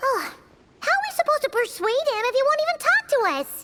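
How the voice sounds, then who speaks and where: A put-on, squeaky character voice at an extremely high pitch and a fairly quick pace. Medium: video game.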